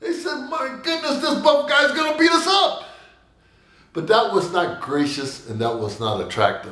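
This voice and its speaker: A man speaks at a medium tempo in a room with audible echo, with noticeable noise in the background. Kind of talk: devotional message with personal stories.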